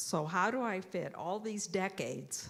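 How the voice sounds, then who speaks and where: Vocal fry runs through this woman's speech, delivered at a moderate pace. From Ontario, Canada. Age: 70s. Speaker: church member sharing life story. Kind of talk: testimony.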